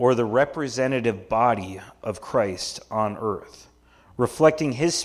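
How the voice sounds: Someone reads in a natural reading voice. The delivery is read from text.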